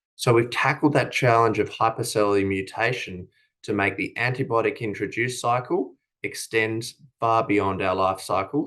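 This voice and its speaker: Over a quiet background, a man talks at a moderate pace and medium pitch, with ordinary pitch variation. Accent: Australian. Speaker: company executive. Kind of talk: conference presentation. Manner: formal; frequent filler hesitations.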